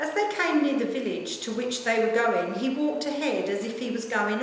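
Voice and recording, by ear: A woman's voice with strong room echo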